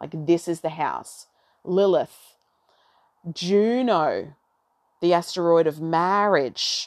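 Taking long, frequent pauses, a woman with an Australian accent speaks at a very slow pace against a quiet background. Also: ordinary pitch variation. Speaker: astrology podcaster. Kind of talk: solo monologue on astrology. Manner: rambling, casual.

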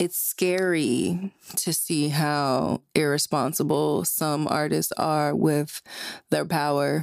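A woman speaks very slowly in an American accent, her pitch very deep and low. The sound is dry and close with no echo, and her loudness stays very even. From New Jersey. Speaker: podcast host. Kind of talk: opinion monologue. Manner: animated.

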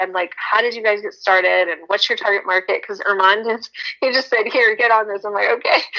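A woman with an American accent talks in a normal speaking voice at a fairly high pitch. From Texas. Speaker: educator and speaker, trafficking survivor advocate. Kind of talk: podcast interview.

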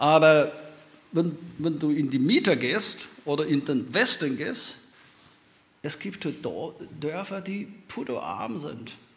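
A man talks at a very slow pace, with long, frequent pauses and ordinary pitch variation. Audible room echo surrounds his voice. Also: fairly high pitch for a man. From China. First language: Chinese (speaking German). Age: old. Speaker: professor. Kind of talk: panel talk. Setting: stage with audience.

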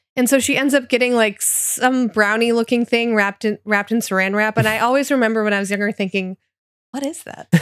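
Speaking very fast with fairly even intonation, a woman with an American accent has a fairly high pitch, recorded dry and close with no echo. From US Great Lakes region. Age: 30s. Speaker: podcast host. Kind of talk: casual chat.

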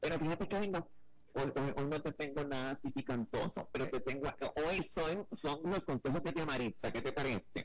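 A man talks at a fairly high pitch and a moderate pace, his loudness very even and his pitch varying in an ordinary way. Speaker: radio presenter. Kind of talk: casual chat. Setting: radio link. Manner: animated.

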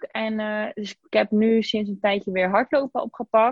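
Fairly high, somewhat breathy female voice at a fairly slow pace with fairly even intonation. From Zeeland, Netherlands (Zeeuws-Vlaanderen). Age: 20s. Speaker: podcast guest sharing weight-loss story, social media worker. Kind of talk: casual interview.

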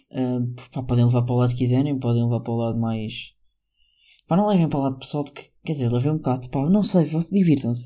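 Very fast speech from a man in a European Portuguese accent, medium-pitched, with ordinary pitch variation. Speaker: solo podcaster. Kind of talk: casual monologue. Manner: rambling, halting.

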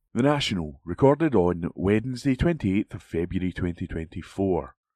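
On a very clean recording with a silent background and a dry, close sound with no echo, a man with an ordinary speaking voice talks at a moderate pace with lively intonation. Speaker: volunteer announcer and reader. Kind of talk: reading aloud. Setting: studio.

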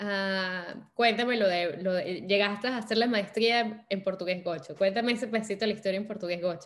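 This woman hardly pauses at all, moving at a fairly quick pace. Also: medium pitch for a woman. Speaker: podcast host. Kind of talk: casual interview. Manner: animated.

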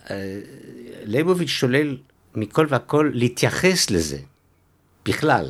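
Long, frequent pauses break up a man's speech, which has medium pitch and lively intonation. The recording is very clean, with a silent background. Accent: French. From Belgium, Antwerp. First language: French (speaking Hebrew). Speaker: author. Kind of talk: interview. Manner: halting.

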